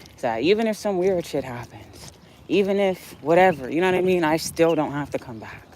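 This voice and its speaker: Noticeable background noise surrounds a woman with a very deep, low pitch, who speaks at a moderate pace with lively intonation. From Ohio suburbs, US Midwest. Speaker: livestreamer. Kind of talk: casual livestream chat. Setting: outdoors on a walk. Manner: emphatic, passionate.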